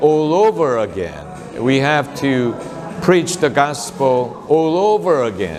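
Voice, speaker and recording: A man at a fairly high pitch with very wide pitch swings and a very slow pace, with music in the background and audible room echo. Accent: Korean. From South Korea. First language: Korean. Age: 60s. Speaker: pastor. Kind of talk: talk about his mission and book. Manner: hesitant, many filler sounds.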